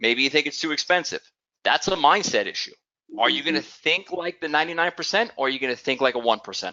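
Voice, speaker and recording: In a New York accent, a man with a fairly high pitch talks at a very fast pace. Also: lively intonation. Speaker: business owner pitching a program. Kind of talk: sales pitch.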